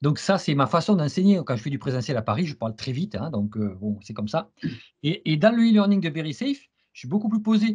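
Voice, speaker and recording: Fairly high in pitch, a man speaks at a fairly quick pace with very wide pitch swings over a quiet background. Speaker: CISSP trainer and interviewer. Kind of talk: interview. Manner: fast; stammering repetitions.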